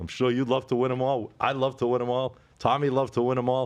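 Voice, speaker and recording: Against a quiet background, a man with a medium pitch talks at a fairly quick pace. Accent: Boston. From Boston area. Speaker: sports betting podcast host. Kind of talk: casual chat.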